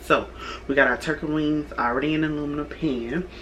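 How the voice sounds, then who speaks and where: A woman talks at a very fast pace. The room echo is audible and the background noise is noticeable. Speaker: YouTuber, home cook. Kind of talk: cooking tutorial vlog. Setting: home kitchen. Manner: casual, conversational.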